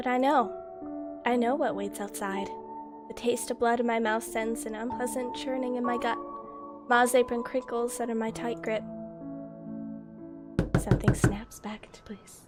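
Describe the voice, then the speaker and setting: Squeaky and swinging widely in loudness, a woman speaks at a moderate pace with long, frequent pauses over music in the background. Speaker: streamer reading a story aloud to chat. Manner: casual, chatty.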